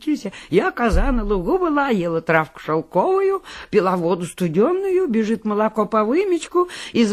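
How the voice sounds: A natural reading voice is heard. It runs from start to finish.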